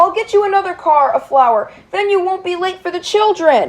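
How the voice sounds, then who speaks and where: A put-on character voice pitched extremely high. It moves at a moderate pace. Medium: dub. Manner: cheerful, later sorry.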